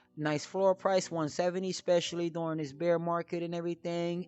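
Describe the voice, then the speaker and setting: Speaking at a moderate pace, a man with a high pitch delivers his words in a monotone, flat intonation. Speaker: crypto podcast host. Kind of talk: solo podcast talk about crypto collectibles. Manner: casual, with many fillers.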